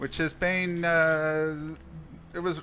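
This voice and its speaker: A man's fairly high, bright, sharp voice with an Australian accent. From Australia, Queensland. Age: 40s. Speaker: gaming streamer. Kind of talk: live gameplay stream chat. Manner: casual, halting with restarts.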